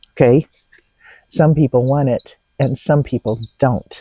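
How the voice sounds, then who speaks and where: In a dry, close recording with no echo, a woman with an American accent talks at a fairly slow pace, her tone dark and mellow and somewhat breathy. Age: 60s. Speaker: dating advice vlogger. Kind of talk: advice vlog. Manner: casual, conversational.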